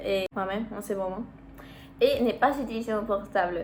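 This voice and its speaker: A woman with a Spanish accent, a fairly high pitch and a fairly slow pace. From Mexico. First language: Spanish (speaking French). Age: 19. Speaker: vlogger, university student. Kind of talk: casual vlog talk. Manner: halting, searching for words.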